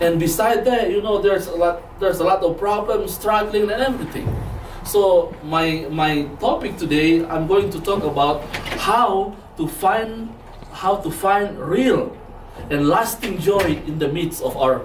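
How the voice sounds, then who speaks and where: A man's high voice with a non-native accent, at a fairly slow pace with ordinary pitch variation, in audible room echo and noticeable background noise. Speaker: lay preacher, Bible student. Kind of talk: sermon. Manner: halting, with frequent repetitions.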